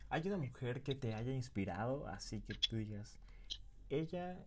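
A man speaks with an ordinary speaking voice at a moderate pace. His pitch varies in an ordinary way. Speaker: podcast host. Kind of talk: interview.

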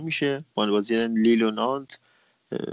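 A man talking at a very fast pace. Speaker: football analyst. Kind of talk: football analysis.

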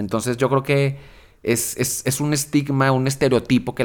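Using a normal speaking voice, a man talks at medium pitch and a moderate pace. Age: 30s. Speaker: magazine director. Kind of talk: casual chat. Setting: studio.

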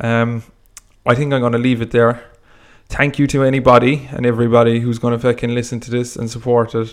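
In a monotone, flat intonation, the words come out at a fairly quick pace. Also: man, medium pitch for a man. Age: 20s. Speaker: podcaster. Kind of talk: casual solo monologue. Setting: home recording with microphone. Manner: rambling, casual, hesitant.

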